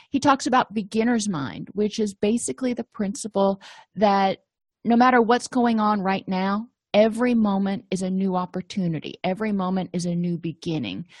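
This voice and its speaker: A woman with a medium pitch and a somewhat breathy voice speaks at a moderate pace with ordinary pitch variation. The sound is dry and close with no echo, and the background is quiet. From US, Italian-American family. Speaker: therapist / counselor. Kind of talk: educational lecture.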